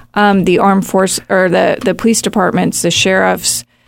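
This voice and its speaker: At a moderate pace, a woman talks with vocal fry and fairly even intonation. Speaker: youth program staff member. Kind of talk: casual chat.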